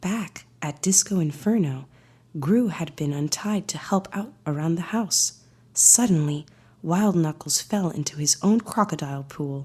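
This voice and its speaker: A woman with a fairly low pitch and a dark, mellow tone speaks at a fairly slow pace. Her calm, soothing voice is somewhat breathy, with lively intonation. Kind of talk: bedtime story read-aloud.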